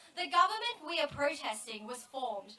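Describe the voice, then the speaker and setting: A woman with an Australian accent speaks in a raised, projected voice. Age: 20s. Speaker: student activist. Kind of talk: protest speech. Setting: outdoor rally with crowd.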